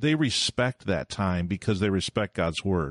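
Speaking at a very slow pace with lively intonation, a man is recorded with a dry, close sound with no echo against a quiet background. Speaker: small church pastor and podcaster. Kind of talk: casual interview. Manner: animated, joking.

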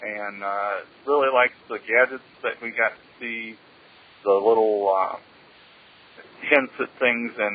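There is noticeable background noise as a man talks with an American accent. His fairly low voice has flat, monotone intonation. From US Midwest, Wisconsin. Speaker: listener caller. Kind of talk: voicemail. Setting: phone call.

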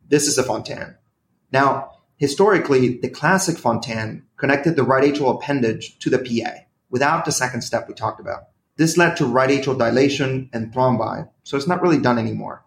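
Here a man talks at a fairly quick pace in a medium pitch, with ordinary pitch variation. His voice is somewhat breathy. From Venezuela. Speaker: cardiology fellow. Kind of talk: medical case presentation.

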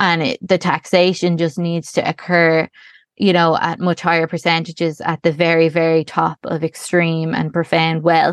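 A woman with a Dublin accent speaks in a fairly low, monotone voice with flat intonation. The sound is dry and close, with no echo. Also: moderate pace. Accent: Dublin Irish. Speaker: primary school teacher and campaigner. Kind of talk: interview.

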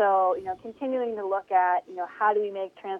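A woman with an American accent and an ordinary speaking voice speaks at a fairly quick pace and a medium pitch with fairly even intonation. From Northeast Ohio, Mahoning Valley. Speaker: community health nonprofit director. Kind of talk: interview.

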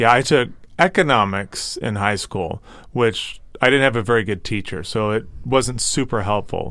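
In a very clean recording with a silent background, a man talks at a moderate pace and medium pitch, with ordinary pitch variation. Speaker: podcast co-host. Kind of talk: casual chat. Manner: announcer-like cadence in intros.

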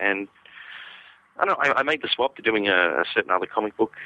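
With an Australian accent, a man speaks at a very fast pace, his fairly low voice showing ordinary pitch variation. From Western Australia. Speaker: comic book artist and writer. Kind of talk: interview conversation.

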